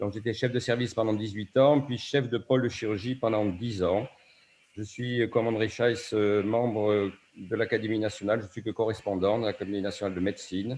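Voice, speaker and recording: A man with a normal speaking voice, medium pitch, fairly even intonation, and a fairly quick pace. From southwest France, Bayonne (Basque Country). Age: 60s. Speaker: surgeon. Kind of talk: acceptance speech. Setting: video call.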